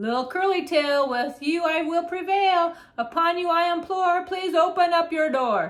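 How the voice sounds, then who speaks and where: The speaker adopts a put-on character voice. The pace stays moderate. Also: woman, extremely high pitch for a woman. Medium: read story. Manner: sly, menacing.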